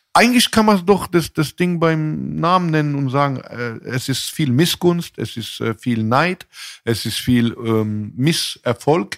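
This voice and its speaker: The recording is very clean, with a silent background. A man with a fairly high pitch speaks very slowly, his intonation lively. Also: dry, close sound with no echo. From southwestern Germany, Mannheim. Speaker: rapper. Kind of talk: casual chat.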